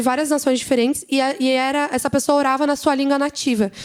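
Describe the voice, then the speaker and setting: This woman has a high pitch and fairly even intonation. She speaks at a fairly quick pace. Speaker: church leader giving a report. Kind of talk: church presentation with slides. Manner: fast.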